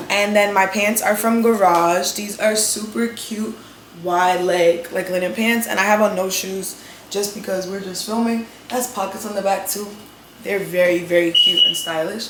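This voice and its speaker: Over noticeable background noise, a woman with a New York accent talks at a moderate pace and medium pitch in a monotone, flat intonation. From New York City. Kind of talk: casual talk to camera.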